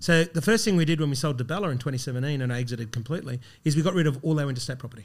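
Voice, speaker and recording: With an Australian accent, a fairly high-pitched man talks at a very fast pace, somewhat breathy and with ordinary pitch variation, on a very clean recording with a silent background. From Brisbane, Australia. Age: 40s. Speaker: coffee business founder. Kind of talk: interview storytelling.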